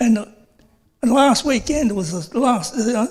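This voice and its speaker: The speaker has an Australian accent and talks at a fairly slow pace. Pitch variation is ordinary. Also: man. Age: 70s. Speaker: resident asking a question at a council meeting. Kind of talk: public question at council meeting. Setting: council chambers. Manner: halting.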